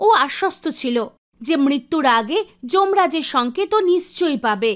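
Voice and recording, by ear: A woman speaks at a fairly slow pace in a high pitch, with lively intonation.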